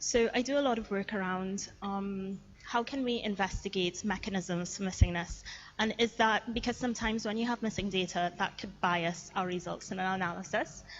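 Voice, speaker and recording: A woman speaks at a fairly quick pace with a medium pitch and ordinary pitch variation. Her voice is somewhat breathy. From Trinidad and Tobago. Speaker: machine learning researcher. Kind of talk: lecture. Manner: fast.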